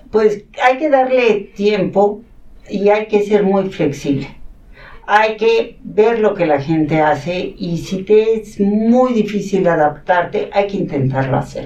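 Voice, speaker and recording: A woman with a Catalan accent speaks very slowly at a medium pitch, her intonation lively. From Mexico City, in a Catalan-speaking household. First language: Catalan (speaking Spanish). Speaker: academic coordinator at a school. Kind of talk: interview, personal storytelling.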